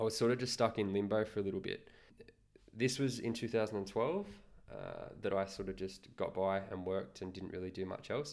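A man with an Australian accent speaks at a fairly quick pace with a fairly low pitch and fairly even intonation. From Australia, Newcastle NSW. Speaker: podcast co-host. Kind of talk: casual chat. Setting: at home.

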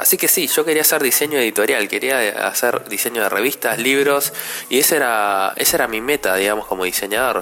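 Heard over noticeable background noise, a man with a Rioplatense accent keeps his loudness very even. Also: medium pitch for a man, ordinary pitch variation, fairly quick pace. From Argentina, Buenos Aires. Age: 30s. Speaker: podcast host, graphic designer. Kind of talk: casual solo podcast monologue.

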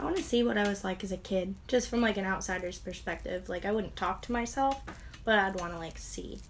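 A woman with an unremarkable speaking voice and medium pitch talks at a fairly quick pace with ordinary pitch variation. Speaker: co-host friend. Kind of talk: casual chat.

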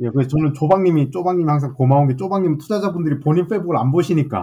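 The voice has a dark, mellow tone and is somewhat breathy. It moves at a very fast pace with lively intonation. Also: man. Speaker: AI chip startup CEO. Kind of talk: casual interview.

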